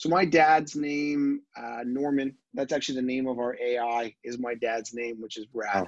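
A man with an unremarkable speaking voice talks at a fairly slow pace and medium pitch, using ordinary pitch variation and hardly any pauses. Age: 30s. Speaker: tech entrepreneur. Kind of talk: casual interview. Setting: video call.

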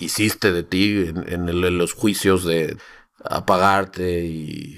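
A man with a very deep, low pitch, ordinary pitch variation, and a very clean recording over a silent background. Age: 40s. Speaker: life coach. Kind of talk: coaching conversation.

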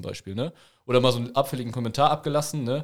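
Speaking very fast, this man has a medium pitch and ordinary pitch variation. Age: 20s. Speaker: amateur football referee. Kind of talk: casual chat.

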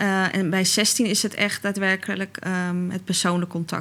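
Flat, monotone intonation from a woman at a medium pitch. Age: 30s. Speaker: podcast guest, mother. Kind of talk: casual interview.

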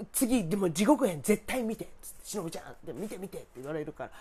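The speaker's animated tone races at a very fast pace with very wide pitch swings. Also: woman. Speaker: podcast host. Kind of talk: casual solo chat. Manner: animated, chatty, laughs often; informal, self-deprecating humor.

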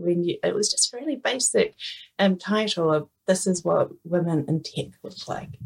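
A woman speaks with a New Zealand accent. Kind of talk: casual interview chat.

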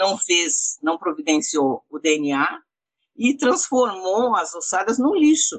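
A woman's medium-pitched voice with very wide pitch swings, at a very slow pace. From southern Brazil, Rio Grande do Sul. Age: 60s. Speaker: activist, relative of a disappeared political prisoner. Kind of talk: interview.

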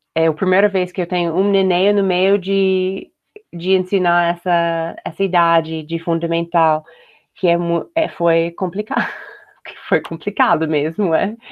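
With an English accent, a woman talks at a fairly slow pace in a fairly low pitch. Her intonation is monotone and flat, and her loudness stays very even. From United States. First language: English (speaking Portuguese). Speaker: homeschooling mother. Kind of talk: casual chat. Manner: hesitant, many fillers.

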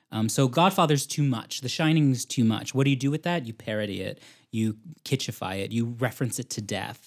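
On a very clean recording with a silent background, a man with a normal speaking voice talks fairly quickly at medium pitch with ordinary pitch variation. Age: 30s. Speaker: film programmer and literature scholar. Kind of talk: casual chat.

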